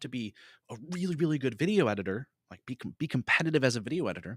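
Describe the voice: A man talks fast at a medium pitch with lively intonation. The sound is dry and close, with no echo.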